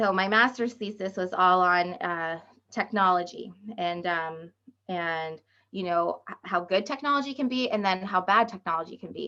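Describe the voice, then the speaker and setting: A woman's bright, sharp voice at medium pitch, with ordinary pitch variation and a moderate pace. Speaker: education curriculum specialist. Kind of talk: webinar presentation. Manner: hesitant, many fillers.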